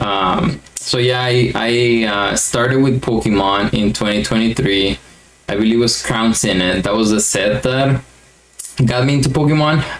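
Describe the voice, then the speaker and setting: A man with a Mexican accent, medium pitch, ordinary pitch variation, very even loudness and a moderate pace, over noticeable background noise. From Mexico. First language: Spanish. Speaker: YouTuber, card collector. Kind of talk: casual vlog monologue. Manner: hesitant with fillers.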